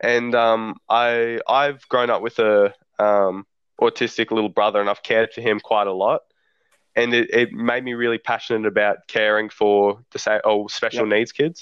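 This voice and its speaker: A man talks at a moderate pace. His pitch sits in the middle range, and his intonation stays flat and monotone. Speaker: rugby league fan page owner. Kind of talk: casual chat. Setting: phone recording.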